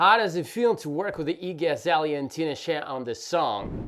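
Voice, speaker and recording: A man's fairly high voice with a non-native accent, lively intonation and a fairly quick pace. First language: not English. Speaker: podcast host, music producer. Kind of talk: podcast interview.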